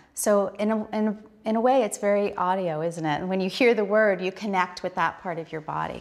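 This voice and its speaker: A woman moves at a fairly quick pace, her pitch varying in an ordinary way. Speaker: yoga instructor. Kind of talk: tutorial. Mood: calm, warm, instructive. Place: home room. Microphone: lapel.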